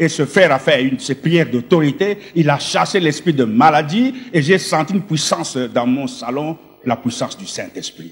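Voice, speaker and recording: With hardly any pauses, a man with a fairly high pitch talks in lively intonation over noticeable background noise. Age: 60s. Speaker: former occultist giving testimony. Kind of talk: testimony. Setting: stage with audience.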